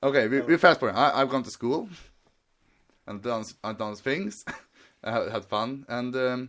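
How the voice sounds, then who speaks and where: With a Swedish accent, a man speaks at a moderate pace and medium pitch, using ordinary pitch variation. He leaves long, frequent pauses, and his loudness swings a lot. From Sweden. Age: 20s. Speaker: podcast guest. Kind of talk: casual chat. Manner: halting.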